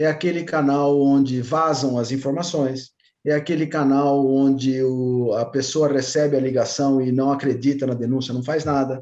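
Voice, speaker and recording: A man speaks at a moderate pace with hardly any pauses. His fairly high voice carries a dark, mellow tone. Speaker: compliance consultant. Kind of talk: webinar talk. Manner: animated.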